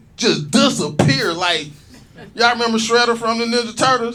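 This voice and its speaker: Raised and projected, a man's high-pitched voice sounds animated at a moderate pace, with audible room echo. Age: 40s. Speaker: stand-up comedian. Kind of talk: stand-up. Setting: stage with audience.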